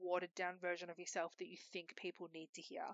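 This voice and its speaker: A woman with an Australian accent. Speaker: podcast host. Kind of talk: casual solo monologue. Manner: loud.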